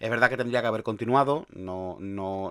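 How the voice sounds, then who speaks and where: A man's voice with fairly even intonation. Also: very clean recording, silent background. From Andalusia, Spain. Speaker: podcast host, sysadmin. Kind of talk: solo podcast monologue. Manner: talkative, many fillers and restarts.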